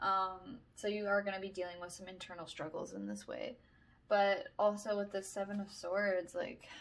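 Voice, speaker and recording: The woman talks at a moderate speed. Her volume rises and falls a great deal. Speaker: tarot reader. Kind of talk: tarot reading to camera. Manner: halting, filler-heavy.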